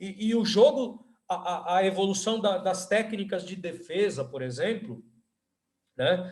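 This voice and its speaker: This man's voice is high-pitched with lively intonation. He talks at a fairly slow pace. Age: 60s. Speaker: university professor and volleyball coach. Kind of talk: podcast interview. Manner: halting, many fillers.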